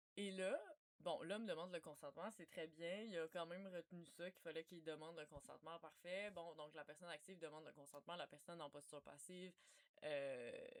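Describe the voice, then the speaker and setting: A woman with a Quebec accent talks at a fairly quick pace, her fairly low pitch showing ordinary variation. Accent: Québécois French. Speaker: researcher. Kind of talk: informal talk. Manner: loud; casual.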